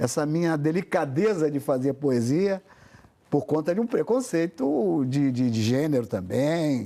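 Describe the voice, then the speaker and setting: A man speaks at a fairly slow pace with lively intonation. His voice is fairly high, with a dark, mellow tone. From Brazil. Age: 70s. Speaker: poet, writer and songwriter. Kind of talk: interview. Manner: halting, many repetitions.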